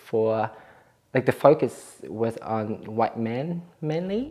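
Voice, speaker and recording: A woman's voice sits very deep and low, dark and mellow in tone, with ordinary pitch variation. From Vietnam. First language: Vietnamese. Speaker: cooking show guest. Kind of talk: personal story interview. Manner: casual, hesitant with fillers.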